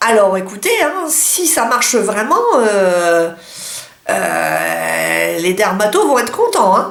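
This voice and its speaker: There is noticeable background noise. A woman speaks very slowly at a very even loudness. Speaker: beauty vlogger. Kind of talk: casual talk to camera.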